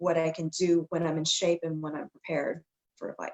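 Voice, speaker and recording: An ordinary speaking voice with an American accent. It moves at a moderate pace. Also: woman. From Texas. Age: 30s. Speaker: MMA fighter. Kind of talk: interview.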